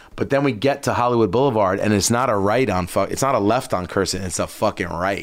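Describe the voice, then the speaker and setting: Speaking at a very fast pace with hardly any pauses, a man uses a fairly low pitch and a New York accent. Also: ordinary pitch variation. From Long Island, New York. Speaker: footwear designer and entrepreneur. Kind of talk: casual chat.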